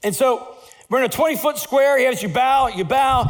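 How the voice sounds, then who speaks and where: Someone speaks at a moderate pace in a recording with audible room echo. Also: man. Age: 50s. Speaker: pastor. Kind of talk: sermon. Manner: animated.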